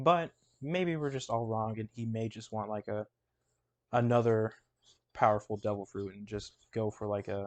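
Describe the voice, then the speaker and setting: With long, frequent pauses, a man at medium pitch talks at a moderate pace with ordinary pitch variation, heard in a dry, close sound with no echo over a quiet background. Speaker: YouTuber discussing anime theories. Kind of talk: casual commentary while drawing. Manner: halting, stumbles over words.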